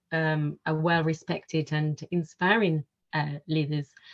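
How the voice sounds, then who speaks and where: A woman is speaking. Her pace is very slow. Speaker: panel chair. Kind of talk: panel discussion moderation. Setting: webinar video call. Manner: halting, many fillers.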